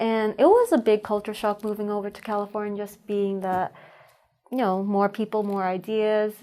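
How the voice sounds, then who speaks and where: A woman with a dark, mellow tone talks at a moderate pace in a monotone, flat intonation, her loudness swinging widely. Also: medium pitch for a woman. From US Northeast, Rhode Island. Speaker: podcast guest. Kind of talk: casual interview.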